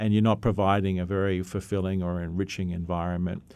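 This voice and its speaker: A man with an Australian accent, very deep and low in pitch, with monotone, flat intonation. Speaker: veterinarian, zoological medicine specialist. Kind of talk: radio interview. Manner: halting.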